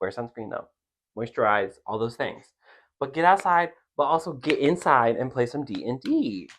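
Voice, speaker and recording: A man with an American accent speaks in an animated tone with lively intonation. His pace is moderate, and the background is quiet. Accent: Southern US hick accent, usually covered up. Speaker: podcast co-host. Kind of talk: casual chat.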